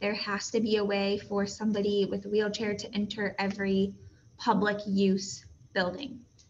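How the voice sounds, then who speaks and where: A woman speaks at a moderate pace and medium pitch in a monotone, flat intonation. Audible room echo surrounds her. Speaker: teacher. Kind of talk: lecture. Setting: recorded video lesson.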